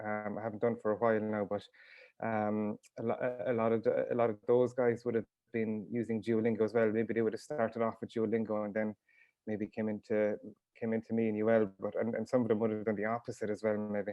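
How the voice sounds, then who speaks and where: A man talks at a very fast pace with a Waterford accent. His intonation is monotone and flat. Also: medium pitch for a man. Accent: Irish, Waterford. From Ireland, Ring Gaeltacht, County Waterford. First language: Irish. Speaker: author and teacher. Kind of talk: casual interview. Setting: video call. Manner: hesitant, many fillers.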